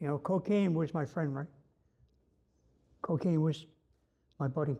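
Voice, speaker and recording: This voice carries a Newfoundland accent and a dark, mellow tone. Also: man. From Newfoundland, Canada. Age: 60s. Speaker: former prisoner sharing recovery story. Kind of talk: personal testimony. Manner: casual, halting with fillers.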